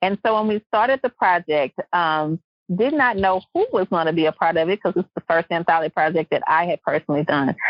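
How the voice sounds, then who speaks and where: In a Louisiana accent, a woman talks at a fairly quick pace with a fairly low pitch, ordinary pitch variation and very even loudness. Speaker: podcast host. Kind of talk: podcast interview.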